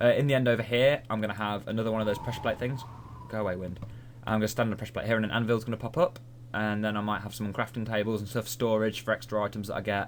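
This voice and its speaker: In a British accent, a man talks at a very fast pace with a fairly low pitch and fairly even intonation. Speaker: gaming video creator. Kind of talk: gameplay commentary.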